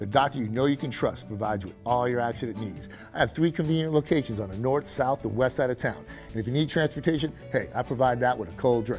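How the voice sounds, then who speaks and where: Over music in the background, a man at medium pitch talks very fast in an upbeat tone, with ordinary pitch variation. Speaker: chiropractor. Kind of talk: TV commercial read.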